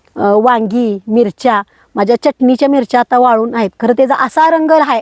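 The recording has a dry, close sound with no echo. A woman speaks at a fairly high pitch with ordinary pitch variation. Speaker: organic farmer. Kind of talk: interview testimony. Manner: hesitant, many fillers.

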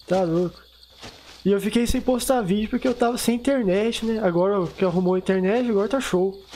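Talking at a fairly quick pace, a man with a high pitch keeps his loudness very even over noticeable background noise. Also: ordinary pitch variation. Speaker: gaming youtuber. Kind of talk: gameplay commentary. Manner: fast; casual, unpolished.

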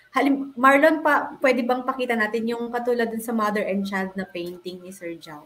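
With an unremarkable speaking voice, a woman of fairly high pitch talks at a moderate pace with hardly any pauses, lively intonation and big swings in loudness. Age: 40s. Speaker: talk show host. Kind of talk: casual interview.

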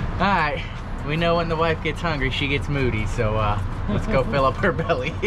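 Music plays behind a man who talks at a fairly quick pace. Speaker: boat owner vlogger. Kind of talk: casual vlog chat. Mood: relaxed, joking. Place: boat. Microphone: phone near.

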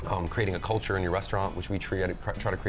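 Very fast delivery over clear background music. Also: man. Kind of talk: roundtable discussion. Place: cafe. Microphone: lapel.

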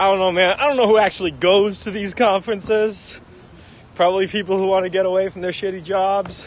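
A man talks at a high pitch in a dry sound with no echo. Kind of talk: casual livestream chat. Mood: joking, irreverent. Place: street.

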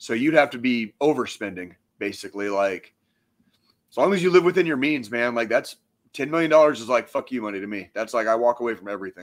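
A man with an American accent talks at a fairly quick pace and medium pitch, with lively intonation. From Missouri. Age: 40s. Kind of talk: casual chat. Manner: animated. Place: home room. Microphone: studio mic.

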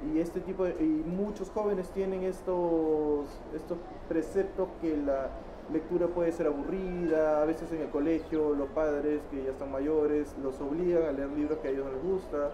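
A man's voice with fairly even intonation over noticeable background noise. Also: moderate pace. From Peru. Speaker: independent book publisher; interviewee. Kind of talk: interview. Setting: book fair stand. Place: hall.

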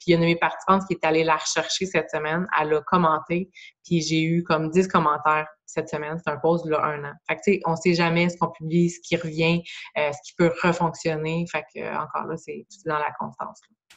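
The voice has a Quebec accent and a monotone, flat intonation. The pace is fairly quick. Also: woman, fairly low pitch for a woman, quiet background. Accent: Québécois French. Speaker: online fitness coach. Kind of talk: group coaching video call. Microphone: video call.

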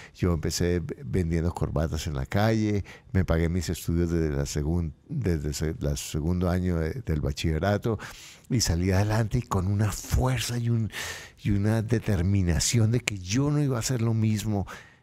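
Very deep and low in pitch, a man speaks in a dark, mellow tone with lively intonation. His loudness stays very even at a moderate pace. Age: 60s. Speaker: motivational speaker and author; financial coach guest. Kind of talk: interview. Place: studio. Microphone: studio mic.

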